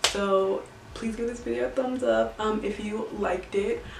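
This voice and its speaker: Clearly audible background noise and room echo surround a woman as she talks. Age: 20s. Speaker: beauty vlogger. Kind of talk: casual vlog talk to camera. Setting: at home.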